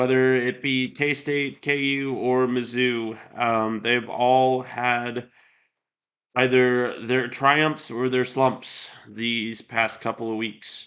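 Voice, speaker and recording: A man with a Midwestern US accent, medium pitch, monotone, flat intonation, and a very slow pace. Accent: US Midwest. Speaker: sports podcast host. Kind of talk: sports talk podcast. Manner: casual, many filler words.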